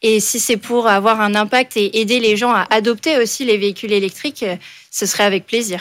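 A woman with an unremarkable speaking voice talks at a moderate pace in a fairly high pitch, her intonation fairly even and her loudness very even. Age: 20s. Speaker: business school student. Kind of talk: radio interview.

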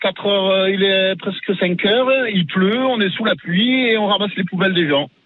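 Over noticeable background noise, a man speaks in a high-pitched voice. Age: 50s. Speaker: garbage truck driver. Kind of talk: street interview. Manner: animated.

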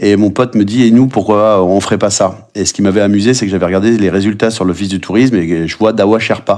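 An ordinary speaking voice from a man, fairly low in pitch, fairly quick, with fairly even intonation. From Brittany, France. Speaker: chef and trail runner. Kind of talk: podcast interview.

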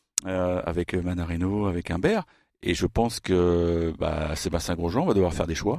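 A man with a very deep, low pitch and a dark, mellow tone speaks at a moderate pace with fairly even intonation. The sound is dry and close with no echo, over a quiet background. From France. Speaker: tennis journalist. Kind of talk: casual chat.

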